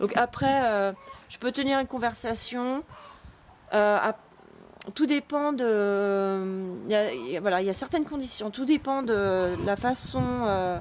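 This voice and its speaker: Speaking very slowly with long, frequent pauses, a woman with a fairly high pitch uses lively intonation. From France. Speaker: vlogger. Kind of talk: casual vlog monologue. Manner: hesitant, many fillers.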